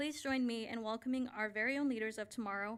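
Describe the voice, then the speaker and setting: Talking at a very fast pace, a woman with an American accent uses a fairly high pitch. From Navajo Nation, Arizona. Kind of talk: formal address at board meeting. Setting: school board meeting. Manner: formal.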